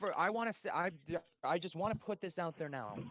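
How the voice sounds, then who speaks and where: An excited man speaks at a fairly quick pace with a high pitch. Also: dry, close sound with no echo. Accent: American. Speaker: storm chaser and weather streamer. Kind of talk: live weather commentary. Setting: live stream. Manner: fast, excited; loud.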